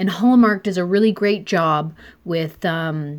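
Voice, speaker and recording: This is a woman with a normal speaking voice. Her pitch sits in the middle range, with ordinary variation. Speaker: podcast host. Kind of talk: casual interview chat.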